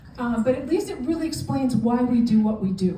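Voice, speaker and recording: A woman speaks with a fairly high pitch. Audible room echo and noticeable background noise are present. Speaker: immigration lawyer and charity director. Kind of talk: lecture. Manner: fast.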